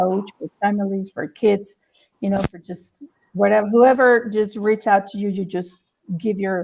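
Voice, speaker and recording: With a Spanish accent, a woman speaks at a moderate pace and with fairly even intonation. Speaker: talk show host. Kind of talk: casual interview chat. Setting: live stream.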